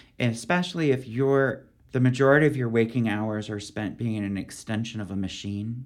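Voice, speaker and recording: A man with an American accent talks at a fairly quick pace and a medium pitch, with ordinary pitch variation. It is an unremarkable speaking voice. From US, Philadelphia, Pennsylvania. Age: 50s. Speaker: poet. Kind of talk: interview conversation.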